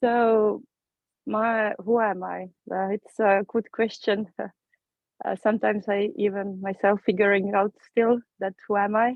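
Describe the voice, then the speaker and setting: A woman with an Estonian accent speaks fairly slowly at a medium pitch, taking long, frequent pauses. Her intonation is monotone and flat. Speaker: course participant. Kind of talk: personal introduction.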